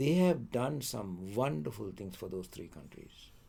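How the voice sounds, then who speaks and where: A man's dark, mellow tone carries vocal fry. His pitch rises and falls in very wide swings. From Sri Lanka. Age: 80s+. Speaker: economics lecturer. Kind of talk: interview answer.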